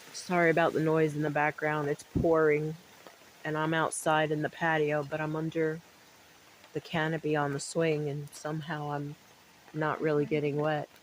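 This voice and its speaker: Noticeable background noise sits behind a woman's very deep, low voice. She keeps a moderate pace with monotone, flat intonation. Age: 50s. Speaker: weight loss vlogger. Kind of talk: venting monologue. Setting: outdoors on covered patio. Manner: halting, many repetitions.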